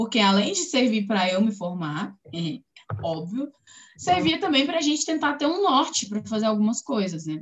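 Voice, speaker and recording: Her pitch swings very widely as the woman speaks. She keeps a moderate pace. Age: 30s. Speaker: political scientist and community activist. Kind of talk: interview. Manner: casual, filler-heavy.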